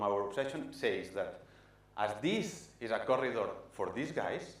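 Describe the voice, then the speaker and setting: A man's voice swings very widely in pitch, heard through audible room echo and noticeable background noise. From Spain, Barcelona. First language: Spanish or Catalan. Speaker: architect. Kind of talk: presentation talk. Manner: halting, many fillers.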